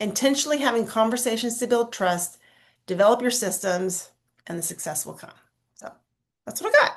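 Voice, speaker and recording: Delivered at a fairly quick pace, the speech has long, frequent pauses, ordinary pitch variation and big swings in loudness. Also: woman, fairly high pitch for a woman. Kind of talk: training talk on a video call. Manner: fast; animated storytelling.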